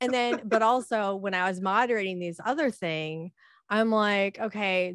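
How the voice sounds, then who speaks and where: Over a quiet background, a woman with an American accent and an unremarkable speaking voice talks at a moderate pace with ordinary pitch variation. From United States. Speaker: diversity and inclusion speaker. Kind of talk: casual interview chat.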